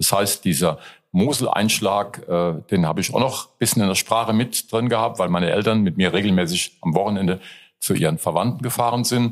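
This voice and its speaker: At a fairly quick pace, a man speaks with very even loudness. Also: fairly low pitch for a man, ordinary pitch variation. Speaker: comedian. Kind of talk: casual interview.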